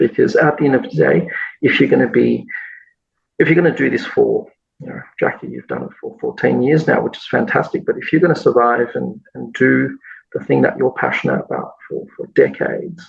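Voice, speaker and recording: A man speaks with an Australian accent at a fairly quick pace. His loudness swings widely. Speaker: massage school executive. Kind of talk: podcast interview. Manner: hesitant with many repeated words.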